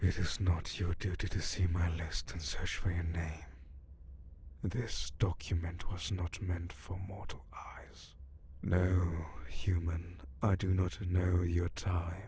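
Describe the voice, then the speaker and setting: Over clear background noise, a man puts on a character voice at a very deep, low pitch and a fairly slow pace. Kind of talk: ASMR comfort roleplay. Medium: solo performance. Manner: formal, measured, solemn.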